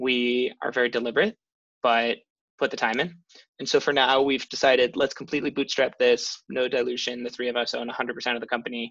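A man with an American accent speaks in a bright, sharp tone with monotone, flat intonation over a quiet background. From Chicago, US Midwest. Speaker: startup founder. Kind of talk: interview. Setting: video call.

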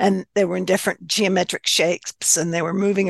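This woman's voice has vocal fry. The sound is dry and close, with no echo. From US South. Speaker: author and spiritualist minister. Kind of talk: interview.

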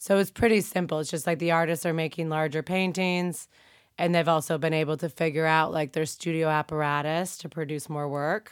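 Over a silent background in a very clean recording, a woman with a very deep, low pitch talks at a fairly quick pace with fairly even intonation. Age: young. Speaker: gallerist. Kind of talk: casual chat. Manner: casual, lots of filler words.

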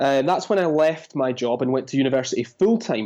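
Speaking at a very fast pace, a man has a fairly high pitch and a dark, mellow tone, with ordinary pitch variation. The background is quiet. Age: 30s. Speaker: content marketing educator. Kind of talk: podcast interview.

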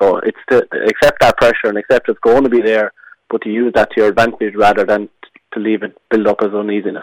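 A man with an Irish accent speaks at a fairly quick pace and a fairly low pitch. The sound is dry and close with no echo. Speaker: hurler. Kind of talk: radio interview. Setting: phone call.

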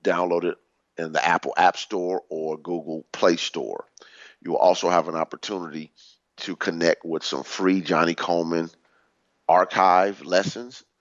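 The man's voice is very deep and low, with fairly even intonation. His loudness swings widely. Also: moderate pace. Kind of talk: radio show teaching talk, sermon-like lesson.

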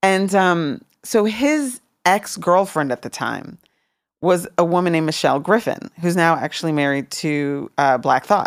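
With an American accent and a plain, everyday voice, a woman speaks at a fairly slow pace with lively intonation. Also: fairly low pitch for a woman, very clean recording, silent background. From Washington DC. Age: 50s. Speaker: former music executive. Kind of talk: interview.

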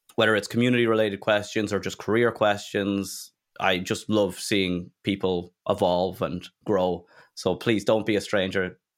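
A man with an Irish accent, fairly low pitch, monotone, flat intonation, moderate pace, in a very clean recording with a silent background. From Ireland. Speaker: tech community founder. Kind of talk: interview.

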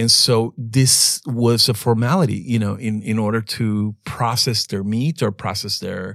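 A man with a Latin American accent and medium pitch talks at a fairly slow pace with ordinary pitch variation, captured in a very clean recording with a silent background. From El Salvador. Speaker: archaeologist and artist. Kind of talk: interview storytelling.

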